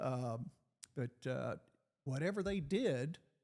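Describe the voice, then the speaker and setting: A man with an Arkansas accent speaks at a fairly high pitch. His tone is dark and mellow, and his intonation is lively. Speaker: retired FBI agent. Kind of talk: interview conversation. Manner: hesitant, many fillers.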